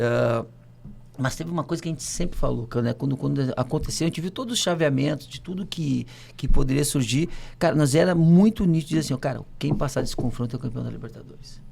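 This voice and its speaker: A man's dark, mellow tone with vocal fry, fairly high in pitch, with ordinary pitch variation at a very fast pace. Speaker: former footballer. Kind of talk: casual chat. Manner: animated.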